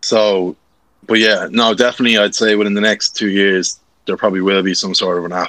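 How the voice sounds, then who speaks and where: With a Dublin accent, a man talks at a fairly quick pace in a fairly low, flat monotone, his bright, sharp tone captured in a dry, close sound with no echo. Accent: Irish, near-Dublin. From Ashbourne, Co. Meath, Ireland. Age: 20s. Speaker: content creator. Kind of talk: casual interview chat.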